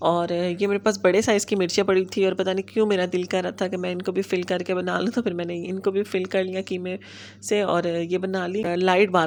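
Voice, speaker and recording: Her delivery is monotone and flat, at a moderate pace. This woman's voice sits at a medium pitch. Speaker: home vlogger. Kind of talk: vlog narration. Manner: casual.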